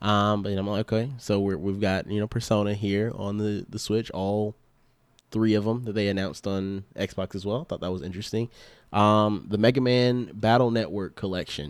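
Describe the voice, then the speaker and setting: A man with a plain, everyday voice speaks at a moderate pace in a fairly low pitch, with fairly even intonation, in a very clean recording with a silent background. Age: 20s. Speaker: gaming podcast co-host. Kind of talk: casual chat.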